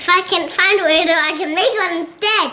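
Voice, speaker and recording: A woman puts on a character voice at an extremely high pitch, speaking at a fairly quick pace. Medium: read story.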